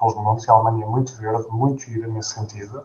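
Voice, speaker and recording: The man speaks at a medium pitch. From Portugal, Gouveia (Guarda district). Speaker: postdoctoral researcher, bioengineer. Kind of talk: interview. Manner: hesitant, repeats words.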